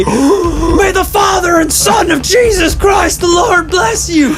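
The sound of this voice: A man shouts in a put-on character voice at a fairly slow pace over loud background noise.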